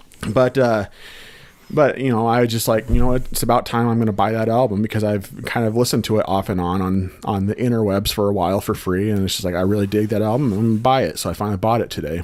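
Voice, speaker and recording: Very fast speech with fairly even intonation over noticeable background noise. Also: man, fairly low pitch for a man. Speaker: podcast co-host. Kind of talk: casual chat.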